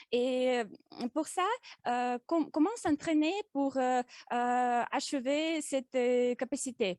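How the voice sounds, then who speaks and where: A woman with a slight non-native accent speaks very slowly at a high pitch with ordinary variation, captured dry and close with no echo against a quiet background. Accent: slight foreign accent in French. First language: not French (speaking French). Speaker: public speaking club member. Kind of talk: prepared speech. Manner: halting, many hesitations.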